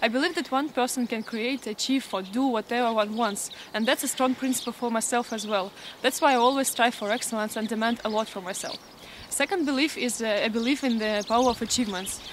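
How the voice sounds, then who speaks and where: A woman's fairly high voice at a very fast pace, with ordinary pitch variation. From Russia, Krasnoyarsk. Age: 20s. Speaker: student organization leader, job applicant. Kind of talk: application video self-presentation. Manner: halting with many fillers.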